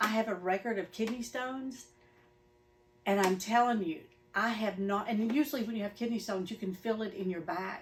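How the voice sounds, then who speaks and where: A somewhat breathy woman's voice, fairly high in pitch with ordinary variation, at a fairly quick pace. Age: 60s. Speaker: satisfied customer. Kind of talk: interview. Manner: animated.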